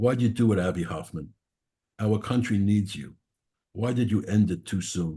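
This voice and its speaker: This man has a strong Brooklyn accent and a dark, mellow tone. His fairly low voice is somewhat breathy. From New York, Brooklyn. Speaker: poet. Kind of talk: poetry reading.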